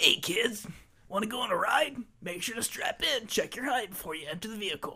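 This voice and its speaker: This is a put-on character voice with a fairly high pitch. It moves at a fairly quick pace. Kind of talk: cheerful kid-directed announcement. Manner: greasy, cheesy, salesy.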